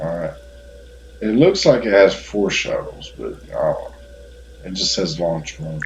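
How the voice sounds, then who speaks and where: A man speaks at a fairly slow pace with long, frequent pauses and big swings in loudness, amid audible room echo and noticeable background noise. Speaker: gaming YouTuber. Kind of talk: game tutorial. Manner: hesitant, filler-heavy.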